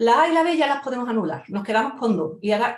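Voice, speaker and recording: A woman with an Andalusian accent speaks at a very fast pace in a fairly high pitch. Her intonation is lively and her tone animated. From Andalusia, Spain. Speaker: lawyer and exam-prep teacher. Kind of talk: lecture. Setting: online event talk.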